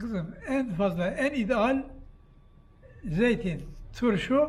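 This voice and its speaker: A man's extremely high-pitched voice, very slow, with long, frequent pauses and lively intonation. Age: 80s+. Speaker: barrel maker. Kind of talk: interview.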